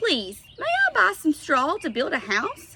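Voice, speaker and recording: A put-on character voice at a fairly slow pace, full of very wide pitch swings. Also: woman, high pitch for a woman. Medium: read story.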